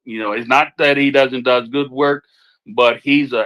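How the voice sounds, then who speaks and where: A man's bright, sharp tone at a moderate pace. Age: 60s. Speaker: podcast host. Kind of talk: casual chat. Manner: halting.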